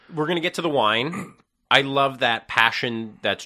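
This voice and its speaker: A man speaks in a bright, sharp tone. His delivery is animated. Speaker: podcast host. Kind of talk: casual interview. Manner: animated, talks over guest.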